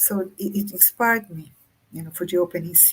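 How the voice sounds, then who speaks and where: At a moderate pace, a woman with a Brazilian Portuguese accent speaks in a fairly low-pitched voice. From Brazil, countryside. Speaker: author. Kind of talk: interview conversation. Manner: halting.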